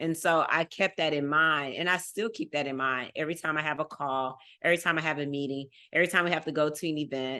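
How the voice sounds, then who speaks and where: A woman with a Texas accent speaks at a very fast pace, her pitch very deep and low and her tone bright and sharp. Her intonation is fairly even against a quiet background. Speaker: fundraising professional. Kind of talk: casual interview chat.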